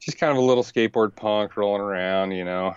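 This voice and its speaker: Ordinary pitch variation runs through this man's fairly low voice, a plain, everyday voice. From US South, Richmond, Virginia. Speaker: professional paddler. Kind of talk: casual interview.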